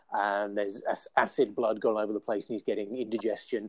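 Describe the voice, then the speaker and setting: A man with a British accent speaks with a dry, close sound with no echo. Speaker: podcast co-host, indie author.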